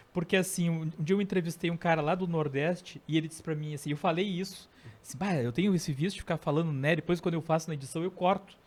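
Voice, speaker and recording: Very fast speech in a Rio Grande do Sul accent, with hardly any pauses and fairly even intonation. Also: man, high pitch for a man. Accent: gaúcho. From southern Brazil (Rio Grande do Sul). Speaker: podcast host. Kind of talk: casual chat.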